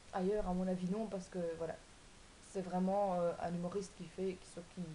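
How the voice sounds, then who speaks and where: The delivery is monotone and flat at a moderate pace, with big swings in loudness. Room echo is audible. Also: woman, medium pitch for a woman. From Belgium, Wallonia. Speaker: vlogger. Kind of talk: casual vlog explaining cards. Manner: hesitant, many fillers.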